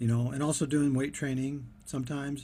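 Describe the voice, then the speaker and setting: Somewhat breathy and dark, mellow in tone, a man speaks at a fairly high pitch and a moderate pace in a very clean recording with a silent background. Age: 60s. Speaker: diet vlogger. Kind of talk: casual monologue. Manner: halting, many fillers.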